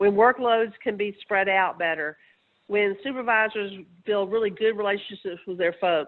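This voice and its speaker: A woman's medium-pitched voice in a Southern US accent, moving at a moderate pace with fairly even intonation. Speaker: researcher. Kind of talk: webinar presentation. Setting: webinar.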